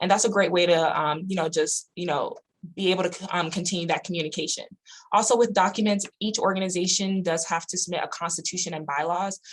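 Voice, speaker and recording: The speech comes at a very fast pace with fairly even intonation. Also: woman, medium pitch for a woman. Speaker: university student activities coordinator. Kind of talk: online workshop presentation.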